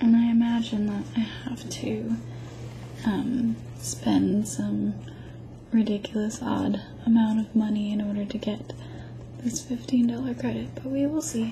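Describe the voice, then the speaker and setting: A soft-spoken woman whispers at a fairly slow pace, with long, frequent pauses. Noticeable background noise runs underneath. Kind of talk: ASMR unboxing, casual talk to camera. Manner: soft-spoken, whispered.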